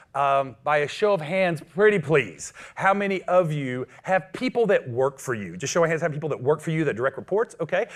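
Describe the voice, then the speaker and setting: Against a quiet background, a man talks at a fairly quick pace in a fairly high pitch with lively intonation. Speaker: business coach. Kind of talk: motivational talk. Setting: stage with audience. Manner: loud; energetic.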